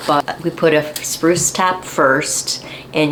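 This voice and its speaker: Against noticeable background noise, a woman speaks in a monotone, flat intonation. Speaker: gardening channel host, garden center worker. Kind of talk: tutorial.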